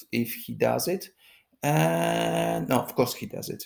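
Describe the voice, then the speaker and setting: The speaker talks very slowly with a non-native accent. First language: not English. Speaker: political commentary vlogger. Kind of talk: political commentary monologue. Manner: halting, many fillers.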